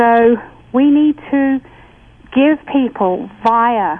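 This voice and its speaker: A woman's fairly high voice with an English accent. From England. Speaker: author and spiritual teacher. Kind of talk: casual chat.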